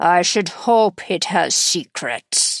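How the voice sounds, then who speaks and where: Against a quiet background, a put-on character voice comes out raspy, gruff and growling. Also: woman. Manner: growling, gruff.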